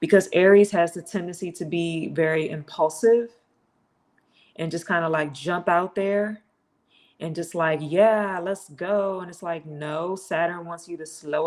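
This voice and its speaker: A woman with a normal speaking voice talks at a fairly slow pace and a fairly low pitch. Her intonation stays fairly even while her loudness swings widely. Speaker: astrology podcast host. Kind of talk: solo livestream commentary. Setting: self-produced live stream.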